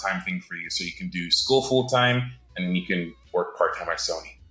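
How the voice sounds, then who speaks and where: A man talks with a slight North American accent. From Britain, raised in several countries. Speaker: animator. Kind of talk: casual interview. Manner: casual, halting, with fillers.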